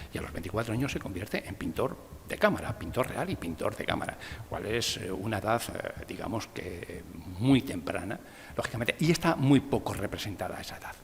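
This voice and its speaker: With a Castilian accent, a man talks at a fairly quick pace and medium pitch, his pitch swinging very widely and his loudness shifting a lot over noticeable background noise. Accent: Castilian (meseta) accent, retained. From Spain, Valladolid (Castile). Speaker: art history professor. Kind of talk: lecture.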